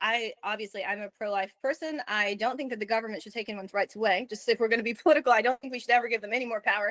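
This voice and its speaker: A woman with a Southern US accent at a very fast pace and hardly any pauses, her fairly high voice swinging widely in loudness, in a dry, close sound with no echo over a quiet background. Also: ordinary pitch variation. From US South. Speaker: lactation consultant. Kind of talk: interview.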